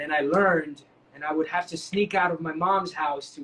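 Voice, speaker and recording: A man's raised, projected voice with a New York accent. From New York City, Washington Heights. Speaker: dancer and actor. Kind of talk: interview. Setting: online live stream.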